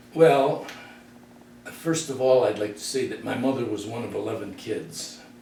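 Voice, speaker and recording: With an American accent, a man speaks at a moderate pace and his loudness swings widely, while audible room echo and noticeable background noise fill the recording. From US Midwest, Detroit. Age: 80s+. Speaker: interviewee. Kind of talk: casual reminiscing interview.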